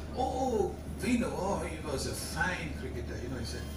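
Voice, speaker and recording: Loud background noise and audible room echo surround a man talking at a moderate pace. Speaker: guest. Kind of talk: after-dinner anecdote speech. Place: hall. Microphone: camera far.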